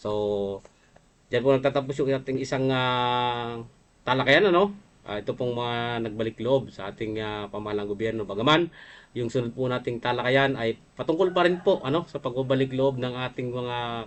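A man at medium pitch and a moderate pace. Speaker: livestream program host, former rebel. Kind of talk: livestream talk show reading news items. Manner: hesitant with frequent fillers; polite, formal address.

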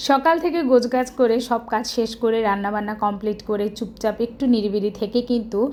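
A woman speaks in a normal speaking voice, pitched fairly high. Her pitch varies an ordinary amount. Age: middle-aged. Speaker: vlogger and homemaker. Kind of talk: casual vlog narration.

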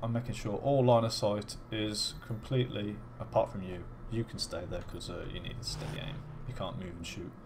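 Speaking at a fairly quick pace with a British accent, this voice has ordinary pitch variation. Its loudness swings widely. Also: man, medium pitch for a man. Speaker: gaming YouTuber. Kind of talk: video game commentary. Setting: home recording at PC. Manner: casual, chatty.

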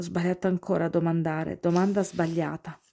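Dark, mellow female tone, very clean recording, silent background. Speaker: audiobook-style reader. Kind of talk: dramatic narration, first-person reading of a story.

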